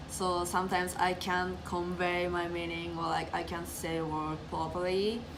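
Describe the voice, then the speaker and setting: Over music in the background and with audible room echo, a woman with a fairly low voice speaks at a moderate pace in a monotone, flat intonation with hardly any pauses. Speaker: international student. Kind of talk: interview.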